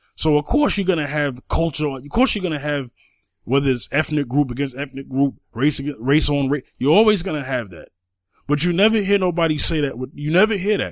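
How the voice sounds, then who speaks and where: With lively intonation and a fairly quick pace, a plain, everyday voice comes through on a very clean recording against a silent background. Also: man. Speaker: podcast co-host. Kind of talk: casual chat.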